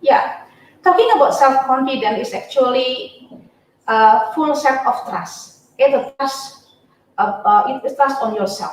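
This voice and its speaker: Speaking very slowly with an Indonesian accent, the voice has lively intonation and audible room echo. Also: woman. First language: not English. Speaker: university lecturer. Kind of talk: webinar talk. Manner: halting, many fillers.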